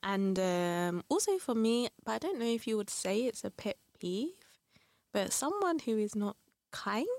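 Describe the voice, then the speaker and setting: A woman with a London accent uses lively intonation and a fairly high pitch at a fairly slow pace, in a dry, close sound with no echo. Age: 30s. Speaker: podcast guest. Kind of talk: casual chat.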